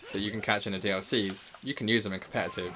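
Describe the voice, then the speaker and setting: Over noticeable background noise, a man talks at a very fast pace. His intonation stays fairly even. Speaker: gaming streamer. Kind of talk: live stream commentary. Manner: casual, chatty.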